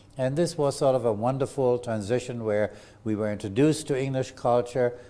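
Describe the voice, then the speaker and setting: A man with a German accent, a medium pitch and dark, mellow tone, fairly even intonation, and a fairly quick pace. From Germany. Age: 80s+. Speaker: lawyer. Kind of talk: oral history interview. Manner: halting.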